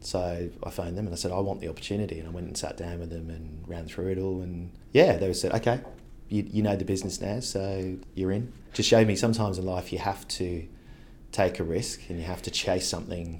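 A man with a very deep, low, somewhat breathy voice speaks at a fairly quick pace amid audible room echo. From England, Devon. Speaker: creative agency director. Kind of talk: interview. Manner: casual, with some repetitions.

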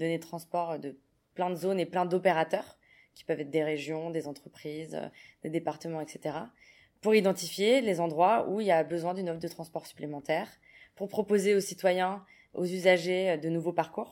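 A woman with an ordinary speaking voice has a fairly low pitch and fairly even intonation. Her loudness swings widely. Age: 20s. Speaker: open data project manager. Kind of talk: interview.

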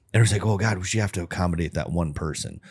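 In a very clean recording with a silent background, a man's pitch rises and falls in an ordinary way. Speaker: podcast co-host. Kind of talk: casual chat.

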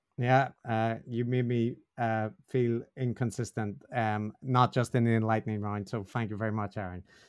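A man speaks at a medium pitch with a Northern Irish accent. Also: fairly even intonation, moderate pace. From Northern Ireland. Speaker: podcast co-host, academic on religion. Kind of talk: casual interview discussion.

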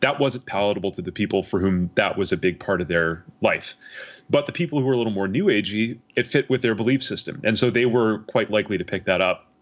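A man rattles along very fast, his medium-pitched voice full of lively intonation. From Canada. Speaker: academic researcher. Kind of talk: interview.

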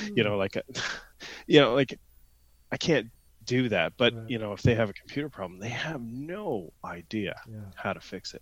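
Speaking at a moderate pace with a southern Ontario accent, a man of medium pitch takes long, frequent pauses and swings widely in loudness. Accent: Canadian, southern Ontario. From London, Ontario, Canada. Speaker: guest, randonneur and IT professional. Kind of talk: casual chat, podcast interview.

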